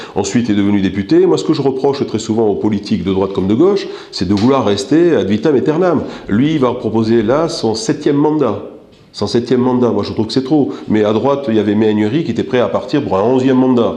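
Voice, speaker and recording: A man at medium pitch, very fast pace and lively intonation, with audible room echo and noticeable background noise. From North Africa. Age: 60s. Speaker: political candidate. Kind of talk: interview. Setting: office. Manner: hesitant, many fillers.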